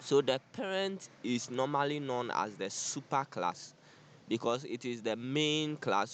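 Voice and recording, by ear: A man at a medium pitch and fairly slow pace, with a fairly bright tone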